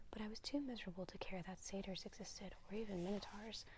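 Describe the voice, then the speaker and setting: Over noticeable background noise, a soft-spoken woman talks in a calm tone. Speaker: ASMR reader. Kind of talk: soft-spoken bedtime book reading. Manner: soft-spoken, calm.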